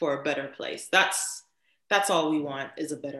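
A woman speaks at a moderate pace in a bright, sharp tone with a very deep, low pitch. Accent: American. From Miami, Florida. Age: 30s. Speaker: podcast co-host. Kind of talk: casual chat.

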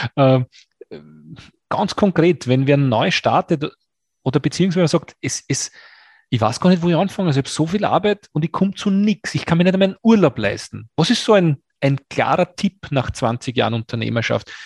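A man with an ordinary speaking voice talks at a fairly high pitch with lively intonation, in a dry, close sound with no echo. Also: moderate pace. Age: 40s. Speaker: podcast host. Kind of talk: interview.

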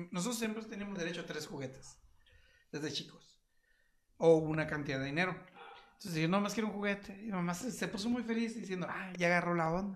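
A man with a Mexican accent talks at a very fast pace in a high pitch with ordinary pitch variation. Long, frequent pauses break up his speech, and audible room echo surrounds it. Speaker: podcast co-host. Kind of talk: casual chat. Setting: live stream on Facebook.

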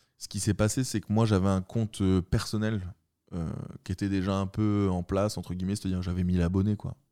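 A man's very deep, low voice with a dark, mellow tone, fairly even intonation and a fairly quick pace. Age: 20s. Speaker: tattoo artist. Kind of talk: casual chat.

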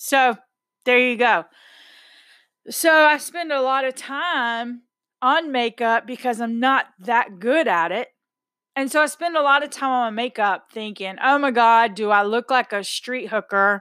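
In a Texan accent, a woman speaks fairly slowly at a high pitch with ordinary pitch variation and a bright, sharp tone, on a very clean recording with a silent background. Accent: Texan American English. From Texas. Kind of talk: casual monologue. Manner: outspoken, blunt.

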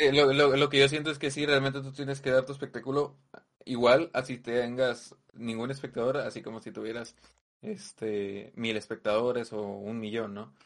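With a normal speaking voice, the speaker keeps a moderate pace and ordinary pitch variation while the loudness swings widely. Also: man, medium pitch for a man. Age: 20s. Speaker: streamer and online poker player. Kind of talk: casual chat.

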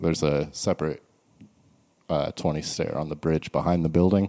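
In an American accent, a man speaks at a moderate pace with a very deep, low pitch, a dark, mellow tone and fairly even intonation, on a very clean recording with a silent background. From US South, Charleston, South Carolina. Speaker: skate shop owner. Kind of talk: casual chat. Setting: skate shop after hours.

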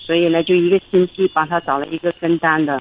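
Here a woman talks at a moderate pace in a fairly low pitch. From Hubei, China. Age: 40s. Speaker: caller, small factory owner. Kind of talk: radio call-in, personal problem.

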